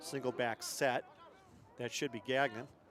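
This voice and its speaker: A man's voice amid noticeable background noise. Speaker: play-by-play announcer. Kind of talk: live commentary.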